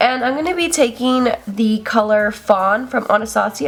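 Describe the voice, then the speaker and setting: At a moderate pace, a woman speaks against noticeable background noise. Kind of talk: makeup tutorial talk to camera. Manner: casual, relaxed.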